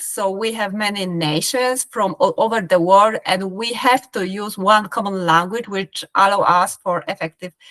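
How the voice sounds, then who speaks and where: A woman with a Polish accent speaks at a fairly slow pace and a medium pitch. Her pitch varies in an ordinary way, and the sound is dry and close with no echo. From Poland (Krakow). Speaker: business professional. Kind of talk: interview. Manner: halting.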